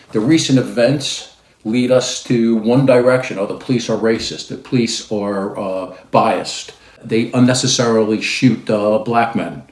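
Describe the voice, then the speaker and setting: Fairly slow speech from a man, set in audible room echo. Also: medium pitch for a man, ordinary pitch variation. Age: 60s. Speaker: lawyer and commentator. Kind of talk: opinion commentary. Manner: hesitant, many fillers.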